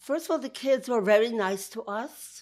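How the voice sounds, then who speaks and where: The speaker has a Brooklyn accent and lively intonation at a moderate pace. The recording is very clean with a silent background. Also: woman. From Georgia, then Brooklyn. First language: Yiddish. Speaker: interviewee. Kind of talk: interview.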